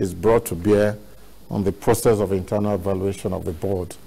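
A somewhat breathy man's voice, fairly low in pitch and fairly quick, with fairly even intonation. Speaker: guest. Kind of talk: interview answer. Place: studio. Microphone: lapel.

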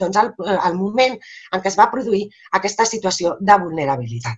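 Against a quiet background, the speaker goes at a fairly quick pace with very wide pitch swings and vocal fry. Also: woman. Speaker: lawyer and legal trainer; lawyer, legal trainer. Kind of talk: webinar lecture. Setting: video call. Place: home room. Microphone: webcam.

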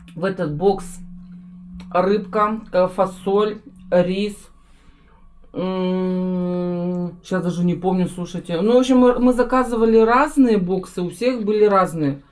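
With faint music in the background, the speaker goes at a very slow pace with long, frequent pauses and ordinary pitch variation. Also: woman. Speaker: family food vlogger. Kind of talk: casual vlog chat. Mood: cheerful, relaxed. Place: home room. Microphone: camera far.

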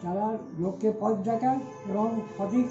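A man with clear music in the background. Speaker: oral history witness. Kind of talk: oral history recollection. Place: home room.

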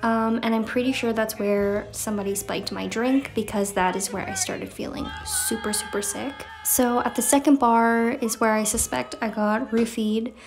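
Faint music plays in the background. A woman speaks at a moderate pace with a fairly high pitch. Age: 20s. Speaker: lifestyle vlogger. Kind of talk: casual vlog. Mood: cheerful, playful.

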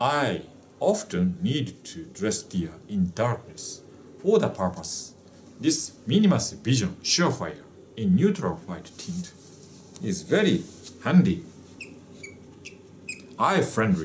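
A man's voice with vocal fry and very wide pitch swings, very slow with long, frequent pauses, over light background noise. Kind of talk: casual product demonstration. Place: office. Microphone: camera far.

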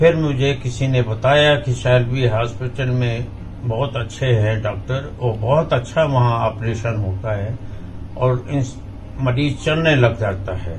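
Light background noise accompanies a very slow delivery with ordinary pitch variation. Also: man. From India, Madhya Pradesh (Jabalpur); Madhya Pradesh, India. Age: 70s. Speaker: patient. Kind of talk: testimonial. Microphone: phone near.

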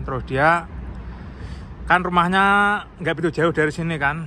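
The voice has a bright, sharp tone at a moderate pace. The sound is dry with no echo, over light background noise. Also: man. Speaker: vlogger. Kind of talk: casual vlog narration. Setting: outdoors. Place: street. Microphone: phone near.

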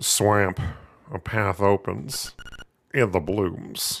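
This man is doing a put-on character voice. It sits fairly low in pitch and moves at a very slow pace.

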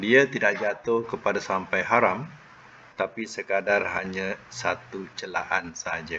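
A man with a plain, everyday voice speaks at a fairly slow pace and fairly low pitch, with ordinary pitch variation over light background noise. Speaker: religious teacher. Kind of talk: lecture. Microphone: video call.

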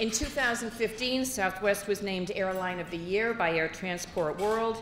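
Audible room echo and light background noise accompany a woman's voice. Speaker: event host introducing speakers. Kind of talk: formal introduction speech. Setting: stage with audience. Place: hall. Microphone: podium.

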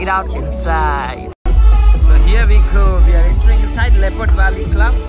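A man's voice with ordinary pitch variation, a dry sound with no echo, and music in the background. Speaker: travel vlogger. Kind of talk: casual vlog narration. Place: garden.

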